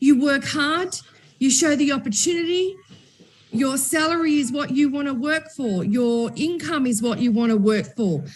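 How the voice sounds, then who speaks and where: Loud and high-pitched, a woman talks at a moderate pace. Her tone is animated and her intonation lively. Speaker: company executive and event host. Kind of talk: panel discussion.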